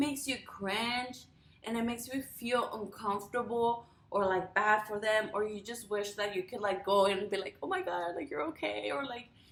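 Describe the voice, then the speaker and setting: A woman with a Spanish accent at a moderate pace. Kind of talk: casual talk to camera.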